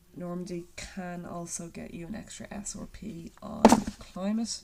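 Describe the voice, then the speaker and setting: In an Irish accent, a woman speaks at a very slow pace with a fairly low pitch and fairly even intonation. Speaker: secondary school geography teacher. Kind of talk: recorded lockdown lesson.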